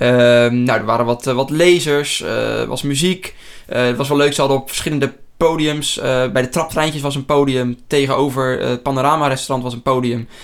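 A man talks at a moderate pace in an unremarkable speaking voice. His pitch is fairly high and his intonation fairly even. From Netherlands, near Rotterdam. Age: 20s. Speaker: podcast host. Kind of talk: casual chat.

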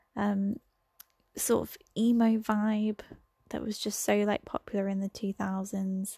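A somewhat breathy woman's voice with an English accent, medium in pitch and dark and mellow in tone, at a fairly slow pace with monotone, flat intonation, in a dry, close sound with no echo and a very clean recording over a silent background. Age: 20s. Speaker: podcaster. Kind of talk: casual monologue. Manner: hesitant, many fillers.

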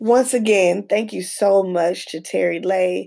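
A woman with a Southern US accent. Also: very clean recording, silent background. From US South. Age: 40s. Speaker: podcast host. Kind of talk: interview; casual monologue.

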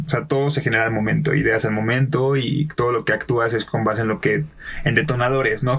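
Over noticeable background noise, a man with a Mexican accent talks at a fairly quick pace in a medium pitch with ordinary pitch variation. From Mexico, Colima. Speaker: podcaster and improv performer. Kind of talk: casual chat. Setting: studio.

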